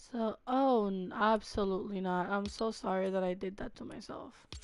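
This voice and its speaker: Here is a woman with a plain, everyday voice at a medium pitch. She talks at a moderate pace with fairly even intonation. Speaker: gaming streamer. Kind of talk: casual gameplay livestream chat. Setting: home livestream, cat on lap. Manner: casual, filler-heavy.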